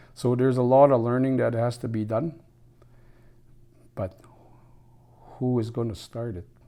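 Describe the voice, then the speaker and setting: This man has a dark, mellow tone and a medium pitch, speaking at a moderate pace with fairly even intonation and long, frequent pauses. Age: 60s. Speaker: former First Nations chief, elder. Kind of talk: interview.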